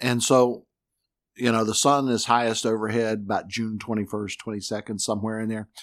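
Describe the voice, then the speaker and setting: An unremarkable speaking voice talks at a moderate pace. The recording is very clean, with a silent background. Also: man. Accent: American. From North Carolina (Newton, near Hickory). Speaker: meteorologist. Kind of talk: casual chat.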